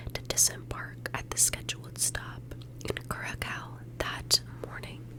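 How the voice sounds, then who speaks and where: A woman's very deep, low voice, calm in tone and monotone in flat intonation, at a fairly slow pace amid noticeable background noise. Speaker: ASMR true crime narrator. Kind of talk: true crime ASMR narration. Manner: soft-spoken, calm, whispery.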